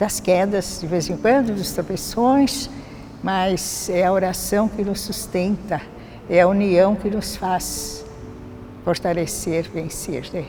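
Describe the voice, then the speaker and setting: Over background music and audible room echo, a woman at a medium pitch speaks at a very slow pace with ordinary pitch variation. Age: 80s+. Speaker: church prayer group member. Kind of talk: testimony.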